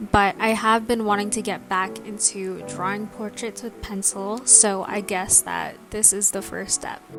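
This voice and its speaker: Over music in the background, a woman speaks at a moderate pace with medium pitch and fairly even intonation. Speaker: artist. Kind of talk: casual voiceover for a draw-with-me art tutorial. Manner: calm, soft.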